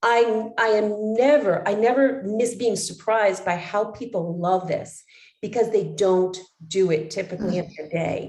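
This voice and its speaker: A woman with a fairly high pitch and lively intonation. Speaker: wellness coach trainer. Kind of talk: online training session. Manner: fast.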